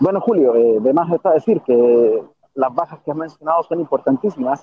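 Fairly high in pitch, a man delivers a normal speaking voice at a moderate pace. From Chile. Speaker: sports journalist. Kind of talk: interview. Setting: bus terminal, on the go.

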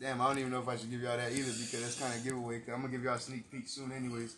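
Audible room echo surrounds a man's bright, sharp voice at a medium pitch. His intonation is monotone and flat. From East Side of San Antonio, Texas. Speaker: rapper. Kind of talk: casual chat.

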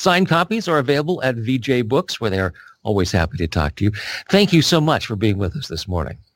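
Vocal fry marks the very fast speech of a man whose pitch swings very widely, captured on a very clean recording with a silent background. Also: medium pitch for a man. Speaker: radio interviewer and book specialist. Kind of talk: interview.

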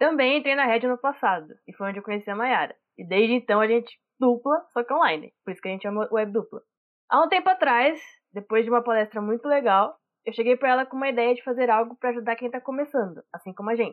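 Speaking at a very fast pace, a woman has a high pitch and ordinary pitch variation. Her loudness swings widely. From interior of São Paulo state, Brazil. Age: 20s. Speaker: podcast host, art director. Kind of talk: scripted podcast intro.

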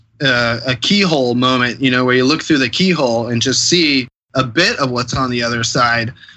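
An unremarkable speaking voice from a man with an American accent, medium pitch, ordinary pitch variation and a fairly quick pace. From Columbus, Ohio, US Midwest. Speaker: political candidate. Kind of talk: interview.

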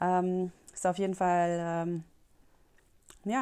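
Against a silent background in a very clean recording, a woman speaks fairly slowly at a medium pitch in a flat monotone with a dark, mellow tone. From rural Germany. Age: 30s. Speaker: podcast host. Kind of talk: solo podcast monologue. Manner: hesitant, many fillers.

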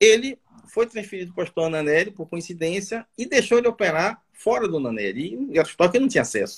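High-pitched, a man talks at a very fast pace. His pitch swings very widely. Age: 60s. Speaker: surgeon and medical professor. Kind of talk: casual interview on a live stream. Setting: online live stream.

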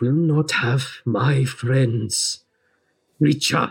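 A man puts on a growling character voice at a medium pitch. His intonation stays fairly even. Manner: growling, defiant.

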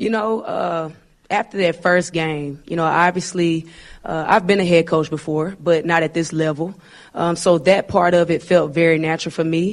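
A woman speaks in a Southern US accent at a fairly low pitch. Her intonation stays fairly even. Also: moderate pace. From Arkansas. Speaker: basketball coach. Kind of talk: press conference.

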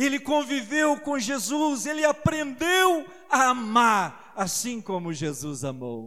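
A man speaks very slowly with hardly any pauses, his voice raised, projected and extremely high. His tone is bright and sharp, with very wide pitch swings. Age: 50s. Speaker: preacher. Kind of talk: sermon.

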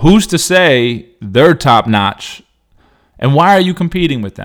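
The speaker is a man talking fairly slowly. His pitch rises and falls very widely. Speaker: basketball skills trainer and podcast host. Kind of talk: casual solo monologue. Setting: recording at home with dog nearby. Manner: unscripted, off the top of his head; repetitive, stammering restarts.

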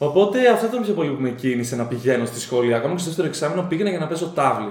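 Against noticeable background noise and audible room echo, a man speaks with lively intonation. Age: 20s. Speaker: agronomy graduate and postgraduate student. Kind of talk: casual chat.

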